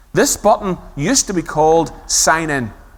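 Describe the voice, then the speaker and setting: High-pitched man with a Belfast accent, lively intonation, moderate pace. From Northern Ireland, Belfast. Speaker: conference speaker on user experience design. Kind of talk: conference talk.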